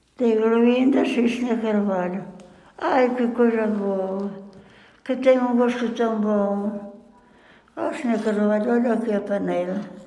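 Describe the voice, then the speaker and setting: A woman with a fairly high pitch speaks with long, frequent pauses. Audible room echo and noticeable background noise surround her. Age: 80s+. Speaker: centenarian interviewee. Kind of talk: life-story interview. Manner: halting.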